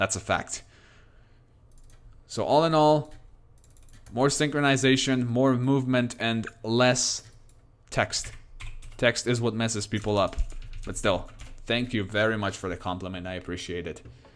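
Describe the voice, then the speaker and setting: A man with a non-native accent speaks at a moderate pace and medium pitch. His pitch variation is ordinary, and he takes long, frequent pauses. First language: not English. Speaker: game streamer. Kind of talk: live stream commentary. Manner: halting.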